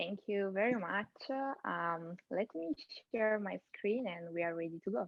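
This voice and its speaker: A woman with an Italian accent speaks at a fairly slow pace. Her pitch is medium, with ordinary pitch variation. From Italy. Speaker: AI content strategist, keynote speaker. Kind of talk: keynote presentation. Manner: hesitant, many fillers.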